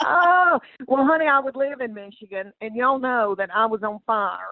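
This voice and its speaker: Lively intonation marks a woman speaking in a Southern US accent. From Southern United States. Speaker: comedian. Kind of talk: podcast interview answer. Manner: warm, chatty storyteller.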